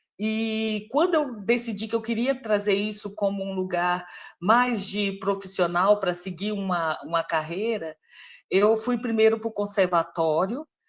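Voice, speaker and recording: A woman speaks at a fairly slow pace and a medium pitch, with ordinary pitch variation over a quiet background. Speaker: singer and voice researcher. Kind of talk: live interview talk. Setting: livestream.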